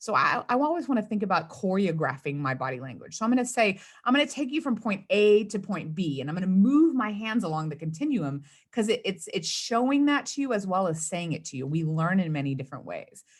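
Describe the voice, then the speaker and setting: A woman of medium pitch talks at a fairly quick pace with hardly any pauses, her somewhat breathy voice making very wide pitch swings. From US South, South Texas (Rio Grande Valley). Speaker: communications consultant and speechwriter. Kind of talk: interview. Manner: fast.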